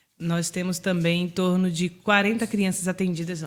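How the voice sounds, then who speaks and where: A woman with a plain, everyday voice, medium in pitch, at a moderate pace with fairly even intonation. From Bahia, Brazil. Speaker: founder of a social charity. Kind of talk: podcast interview.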